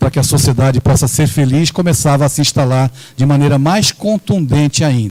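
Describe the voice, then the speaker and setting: Recorded with a dry, close sound and no echo, a man speaks in an animated tone at a fairly high pitch. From Brazil, São Paulo (Santos). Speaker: spiritist lecturer. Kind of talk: lecture. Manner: animated, rhetorical.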